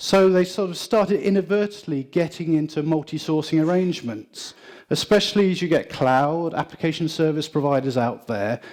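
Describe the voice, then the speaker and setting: A man with a British accent speaks at a fairly high pitch and moderate pace, with lively intonation and hardly any pauses. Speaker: IT consultant. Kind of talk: conference presentation.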